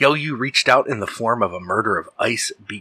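With ordinary pitch variation, the speaker uses a natural reading voice.

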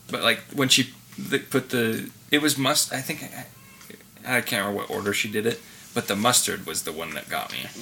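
A voice in an American accent with lively intonation, over noticeable background noise. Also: man, medium pitch for a man, moderate pace. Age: 20s. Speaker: podcast co-host. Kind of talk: casual chat.

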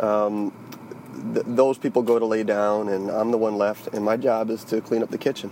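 Over noticeable background noise, a man in an American accent speaks in a monotone, flat intonation at a moderate pace. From Charleston, South Carolina. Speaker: listener reporting a mission, office supervisor. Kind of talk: recorded voice message.

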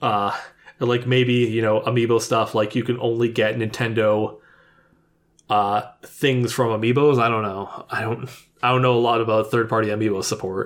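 In a very clean recording with a silent background, a man speaks at a moderate pace with monotone, flat intonation. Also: medium pitch for a man. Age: 30s. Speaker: gaming podcast co-host. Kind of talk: casual chat.

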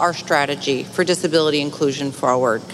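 Noticeable background noise sits behind a woman with an American accent. She talks at a fairly quick pace with ordinary pitch variation. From upstate New York, near Utica. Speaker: bank managing director. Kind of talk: sponsor presentation. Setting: convention stage with audience.

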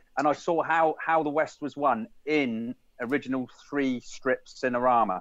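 An ordinary speaking voice from a man, fairly high-pitched, at a moderate pace with ordinary pitch variation. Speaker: podcast co-host. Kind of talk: casual chat.

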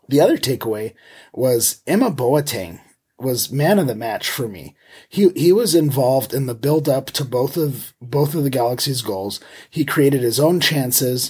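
Here a man speaks at a moderate pace. There is a somewhat breathy quality to his voice. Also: very clean recording, silent background. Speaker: soccer podcast host. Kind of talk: casual match discussion. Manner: hesitant, many fillers.

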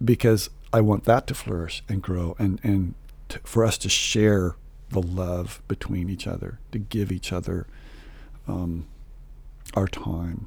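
A man with an American accent speaks at a fairly slow pace and fairly low pitch, his somewhat breathy voice holding fairly even intonation with long, frequent pauses. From Southern California. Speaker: church musician. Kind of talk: testimony.

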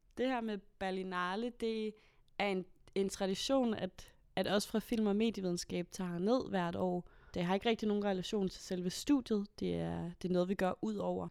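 A woman at a medium pitch and moderate pace, fairly even intonation, an unremarkable speaking voice, on a very clean recording with a silent background. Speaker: student. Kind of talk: casual chat.

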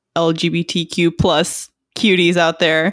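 A woman with an American accent speaks very slowly at a medium pitch on a very clean recording with a silent background. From Texas. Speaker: basketball podcast co-host. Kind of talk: casual chat.

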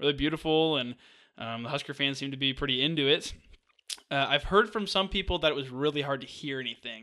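A man at a very fast pace, fairly high-pitched, with ordinary pitch variation. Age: 20s. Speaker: sports podcast co-host. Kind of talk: casual chat.

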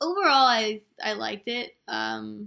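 Her tone bright and sharp, a woman speaks against a quiet background. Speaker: podcast segment co-host. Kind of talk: casual chat. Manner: soft-spoken.

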